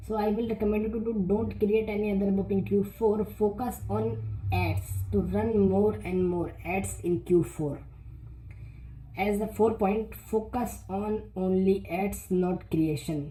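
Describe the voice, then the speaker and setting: A woman's voice at a fairly slow pace, with audible room echo and music in the background. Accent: non-native. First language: not English. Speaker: self-publishing youtuber. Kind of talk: tutorial. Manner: halting, many repetitions and fillers.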